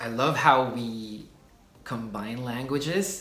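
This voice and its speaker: A man with a Philippine accent speaks at medium pitch, with audible room echo. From Philippines. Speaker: YouTuber, culture explainer. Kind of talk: casual explainer video. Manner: hesitant, many fillers.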